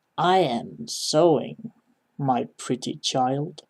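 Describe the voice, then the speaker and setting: Doing a put-on character voice, a man speaks very slowly in a raspy, fairly high-pitched voice with lively intonation. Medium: read story.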